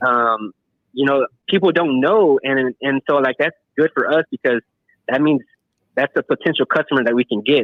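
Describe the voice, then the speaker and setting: A man's voice with ordinary pitch variation, long and frequent pauses, and very even loudness. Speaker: paintless dent repair technician. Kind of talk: casual chat. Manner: fast.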